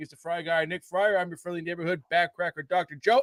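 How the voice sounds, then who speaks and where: A man's voice, dry and close with no echo. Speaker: podcast co-host and chiropractor. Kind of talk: casual chat. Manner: mumbling; animated.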